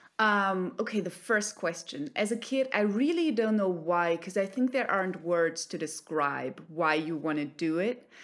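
In a German accent, a woman speaks at medium pitch. Her pace is fairly slow and her intonation lively. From Germany. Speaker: actor. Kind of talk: interview.

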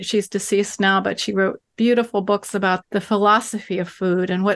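A woman speaks at a moderate pace with medium pitch. She has an unremarkable speaking voice. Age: 60s. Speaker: author and writing teacher. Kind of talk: interview conversation. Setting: remote call.

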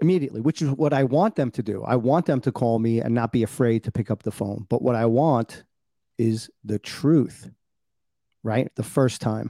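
This voice has a dark, mellow tone and a New York accent. It moves at a moderate pace with ordinary pitch variation. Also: man, medium pitch for a man. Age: 50s. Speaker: podcast host. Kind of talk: casual chat. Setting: video call.

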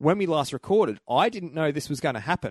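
A man's normal speaking voice, lively intonation at a moderate pace, over a quiet background. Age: 30s. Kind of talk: casual chat. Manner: laughs often, jokey and profane.

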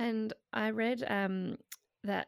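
A woman talks in an Australian accent with monotone, flat intonation. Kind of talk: casual interview chat.

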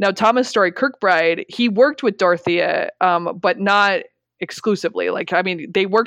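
A woman with an American accent and an unremarkable speaking voice talks at a moderate pace with ordinary pitch variation over a quiet background. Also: dry, close sound with no echo. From rural Colorado. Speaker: history instructor and public historian. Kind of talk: interview.

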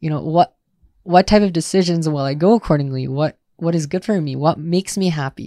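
On a very clean, dry, close recording with a silent background and no echo, a man with an Upper Midwest accent talks fairly quickly in a high voice with ordinary pitch variation. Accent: Upper Midwest American. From US Midwest, Milwaukee, Wisconsin. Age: 20s. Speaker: army veteran and university student. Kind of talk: casual interview. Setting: outdoors on a porch. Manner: halting, many repetitions.

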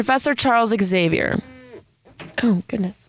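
A woman speaks with a Southern California accent in an animated tone. Her voice sounds dry and close, without any echo. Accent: Southern California, Valley girl-like. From San Diego, California. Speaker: podcast host, college student. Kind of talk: casual solo podcast monologue. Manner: animated, scattered.

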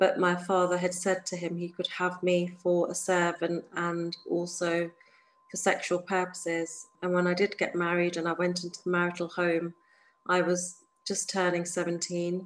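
Woman with a southern English accent, fairly low in pitch, monotone and flat in intonation, on a very clean recording with a silent background. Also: moderate pace. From England, near London. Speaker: activist against honor killings. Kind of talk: interview testimony.

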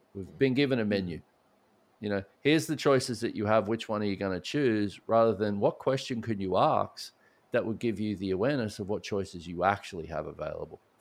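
Against a quiet background, a man with a fairly low pitch speaks at a fairly quick pace with ordinary pitch variation. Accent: Australian. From Australia. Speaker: speaker and author on addiction recovery. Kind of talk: podcast interview.

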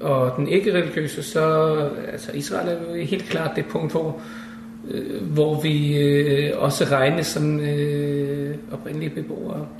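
Talking very slowly, a man is heard through audible room echo and noticeable background noise. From Denmark. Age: 50s. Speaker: interviewee living in Israel. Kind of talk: casual interview. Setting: apartment. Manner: halting, with repetitions and fillers.

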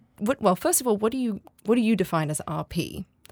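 On a very clean recording with a silent background and a dry, close sound with no echo, a woman speaks at a moderate pace with lively intonation and vocal fry. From Australia. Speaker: podcast host. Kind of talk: interview. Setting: studio.

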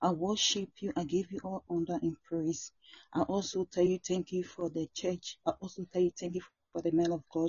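The woman's voice is somewhat breathy and fairly low in pitch. She keeps a moderate pace with fairly even intonation. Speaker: prayer participant leading closing prayer. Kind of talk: earnest intercessory closing prayer. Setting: joining remotely by phone or online call. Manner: fervent, repetitive petitions with spiritual-warfare declarations; halting, with sighs and restarts.

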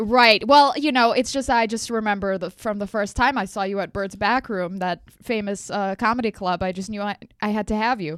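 A woman with an Eastern European accent, medium pitch, ordinary pitch variation, moderate pace and hardly any pauses, in a very clean recording with a silent background. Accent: Eastern European-sounding English, legit. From Los Angeles, US. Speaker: comedian. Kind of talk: casual chat.

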